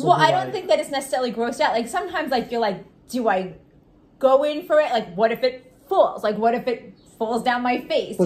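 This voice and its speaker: In a Long Island accent, a woman talks at a fairly quick pace. Her high-pitched voice has lively intonation. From Long Island, New York. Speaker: podcast co-host. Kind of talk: casual podcast chat. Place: kitchen. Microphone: phone near.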